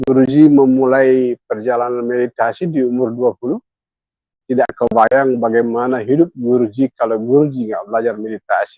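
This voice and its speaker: Using fairly even intonation, a man talks at a medium pitch and a fairly quick pace. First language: Indonesian. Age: 60s. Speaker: meditation teacher. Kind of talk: guided meditation talk. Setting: hotel room, online live session. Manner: bilingual, alternating English and Indonesian.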